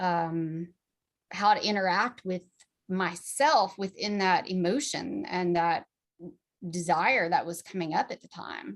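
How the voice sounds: A woman with a fairly low pitch speaks at a slow pace, showing ordinary pitch variation.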